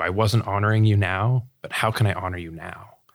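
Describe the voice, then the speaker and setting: A man with an American accent talks in a plain, everyday voice, pitched fairly low, at a moderate pace. His intonation stays fairly even, and the recording is very clean with a silent background. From US South, Sarasota, Florida. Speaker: financial advisor and nonprofit director. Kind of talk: interview conversation.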